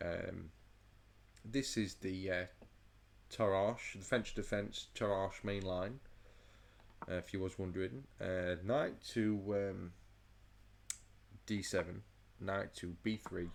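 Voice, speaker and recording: With long, frequent pauses, a man speaks at a very slow pace in a fairly low pitch and fairly even intonation. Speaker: chess commentator. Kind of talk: game analysis commentary. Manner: halting, stuttering.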